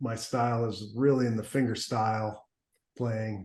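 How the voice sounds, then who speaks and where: A man talks with fairly even intonation at a fairly low pitch. His voice is somewhat breathy. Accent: American. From US Midwest. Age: 60s. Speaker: blues guitarist. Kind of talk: interview. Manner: halting.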